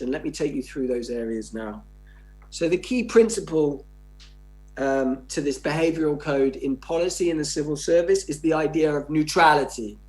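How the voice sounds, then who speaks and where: With music playing in the background, a man with an English accent speaks at a moderate pace, his fairly high pitch showing ordinary variation. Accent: received pronunciation. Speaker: sociology professor. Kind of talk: lecture. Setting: conference keynote.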